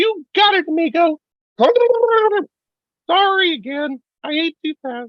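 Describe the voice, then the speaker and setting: A put-on character voice of extremely high pitch moves at a fairly slow pace with long, frequent pauses. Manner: apologetic, eager, character voice.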